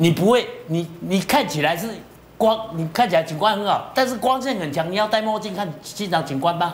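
A man's voice, high for a man, with ordinary pitch variation, a moderate pace and light background noise. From Taiwan. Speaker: property commentator. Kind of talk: TV panel discussion. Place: studio.

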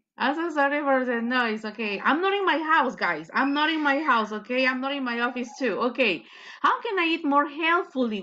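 Over music in the background, a woman uses a raised, projected voice with lively intonation, talking at a moderate pace with hardly any pauses. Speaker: English teacher. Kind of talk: online lesson instruction. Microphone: video call.

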